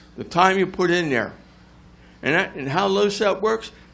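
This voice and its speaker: With an American accent, a high-pitched man talks in a lively intonation amid audible room echo. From New Jersey (South Jersey). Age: 70s. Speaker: retired volunteer firefighter and EMS veteran. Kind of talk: public comment at council meeting. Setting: council meeting room with audience.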